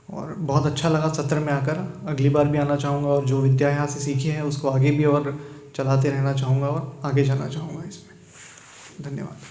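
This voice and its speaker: Noticeable background noise and audible room echo surround this man's voice. He speaks fairly high in pitch, with monotone, flat intonation and hardly any pauses. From Karnataka, India. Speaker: meditation retreat participant. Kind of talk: testimony.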